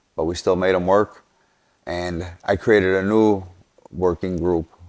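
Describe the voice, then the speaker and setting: In a Chicago accent, a man speaks with a very deep, low pitch and monotone, flat intonation. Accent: Chicago city. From Chicago, West Side. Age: 40s. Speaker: podcast host, construction business owner. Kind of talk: casual monologue.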